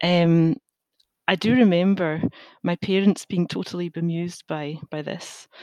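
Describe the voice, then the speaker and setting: A woman talks at a fairly slow pace in a fairly low pitch, with a dark, mellow tone and big swings in loudness. The sound is dry and close, with no echo. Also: fairly even intonation. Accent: Glaswegian. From Scotland, Glasgow. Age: 40s. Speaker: safety engineer. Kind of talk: interview. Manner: hesitant, many fillers.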